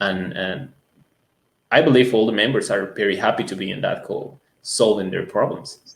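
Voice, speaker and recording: The delivery keeps a moderate pace. The speaker talks with a Latin American accent. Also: man. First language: Spanish. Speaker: music school owner. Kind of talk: interview. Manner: hesitant, many fillers.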